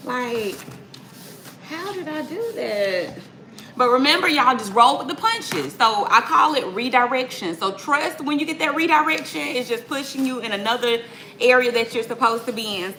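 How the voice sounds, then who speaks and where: With audible room echo and noticeable background noise, a woman speaks in an upbeat tone at a fairly high pitch with very wide pitch swings. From US South, Atlanta. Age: 30s. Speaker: mom vlogger. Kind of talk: live cooking vlog, casual chat. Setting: home kitchen, livestream. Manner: chatty, upbeat.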